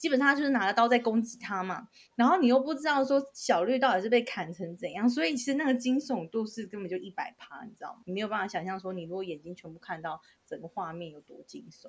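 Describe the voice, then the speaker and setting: Her pitch fairly high, a woman talks at a very fast pace with very wide pitch swings and big swings in loudness. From Taiwan, Tainan. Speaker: podcast co-host. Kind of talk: casual chat.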